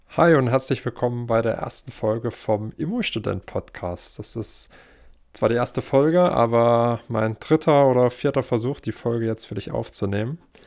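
Here is a man with an ordinary speaking voice at a medium pitch. He talks at a moderate pace, and his pitch varies in an ordinary way. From Saxony, Germany (Leipzig). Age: 20s. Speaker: podcast host, real estate investor and bank employee. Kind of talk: podcast monologue. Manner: casual, with filler sounds.

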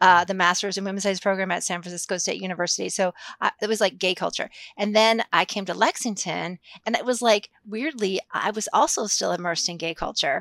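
A woman with an American accent talks at a fairly quick pace in an ordinary speaking voice. Her pitch is medium with ordinary variation, and the sound is dry and close with no echo. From Massachusetts. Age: 50s. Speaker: sociology professor. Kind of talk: interview.

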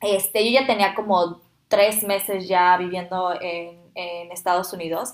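A woman speaks at a fairly slow pace. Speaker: podcast host, former au pair. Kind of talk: casual chat. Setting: shared microphones in one room.

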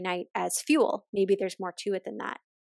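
With a Maritime Canadian accent, a woman talks in a dry, close sound that has no echo. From Nova Scotia, Canada (near Halifax). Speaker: nutritionist and intuitive eating coach. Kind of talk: interview conversation.

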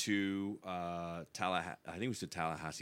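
A man with an American accent in a very clean recording with a silent background. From Long Island, New York. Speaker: retired navy bomb disposal tech and police officer. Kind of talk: casual interview conversation.

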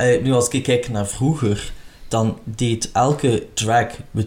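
Somewhat breathy, a man speaks at a medium pitch. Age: 30s. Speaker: podcast host, retired drag queen. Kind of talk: casual interview chat.

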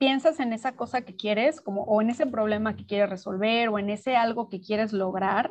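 A woman speaks at a moderate pace in a fairly high pitch, with a plain, everyday voice. The background is quiet. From Mexico City. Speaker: dream researcher and teacher. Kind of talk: interview.

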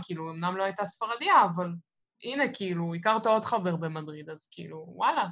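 A woman's bright, sharp tone at medium pitch, with lively intonation. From Israel, Netanya. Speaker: Israeli living abroad. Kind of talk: casual interview chat. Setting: video call. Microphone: recorded over Zoom, poor sound.

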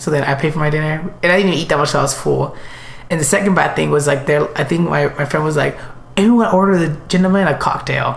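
Amid noticeable background noise and audible room echo, a man speaks very fast at a fairly high pitch, with ordinary pitch variation and very even loudness. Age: 20s. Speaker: podcast co-host. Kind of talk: casual chat. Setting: in person in a living room.

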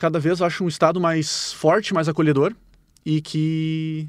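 A man's fairly high, a plain, everyday voice at a moderate pace, in a very clean recording with a silent background. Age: 30s. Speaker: firefighter. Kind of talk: interview answers.

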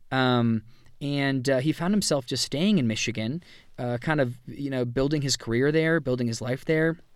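This man speaks at a medium pitch with ordinary pitch variation on a very clean recording with a silent background. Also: moderate pace. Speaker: podcast host. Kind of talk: solo monologue recap. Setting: outdoors by a roadside. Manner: halting, many fillers.

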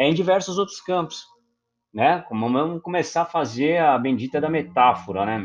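A man with a Brazilian accent, fairly high-pitched, with lively intonation at a moderate pace. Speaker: podcast host, photographer. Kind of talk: casual monologue.

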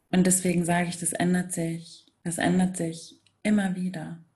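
In a dark, mellow tone, a woman talks at a fairly slow pace with a somewhat breathy, fairly low-pitched voice and flat, monotone intonation. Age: 30s. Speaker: spiritual coach. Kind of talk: interview.

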